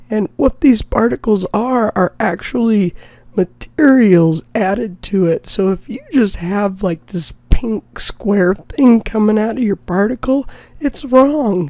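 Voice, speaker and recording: Noticeable background noise under a woman's very slow pace of speech. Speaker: game development teacher. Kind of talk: tutorial. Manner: halting.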